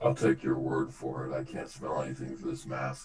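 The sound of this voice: Putting on a character voice, a man speaks at a very deep, low pitch in a monotone, flat delivery. His pace is moderate, with clear background noise behind him.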